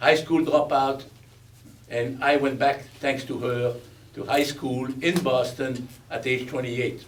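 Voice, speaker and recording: A man's medium-pitched voice with a Belgian accent, fairly even intonation and moderate pace, amid audible room echo and noticeable background noise. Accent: Belgian, foreign. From Belgium. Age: 80s+. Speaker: war veteran and speaker. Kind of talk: speech at a veterans event.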